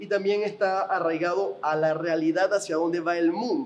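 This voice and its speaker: Noticeable background noise behind a man with a high pitch, talking at a moderate pace. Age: 20s. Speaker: podcast host. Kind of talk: interview.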